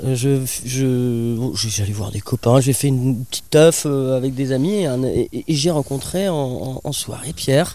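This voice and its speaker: Here a man speaks at a fairly slow pace in a medium pitch. His tone is dark and mellow, with ordinary pitch variation. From Bordeaux area, southwest France. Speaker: musician and carpenter. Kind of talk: interview.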